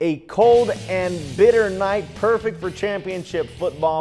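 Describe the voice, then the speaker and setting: A man's high-pitched voice with ordinary pitch variation, music playing in the background. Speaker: sports anchor and reporter. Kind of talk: TV sports news anchor/reporter delivery.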